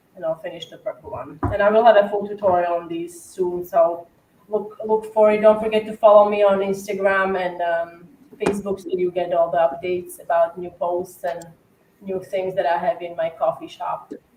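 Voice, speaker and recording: With an Eastern European accent, a woman at medium pitch talks at a moderate pace, her intonation fairly even but her loudness swinging widely. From Slovakia. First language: Slovak. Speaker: cookie decorator. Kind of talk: casual livestream chat and tutorial. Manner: hesitant with many fillers.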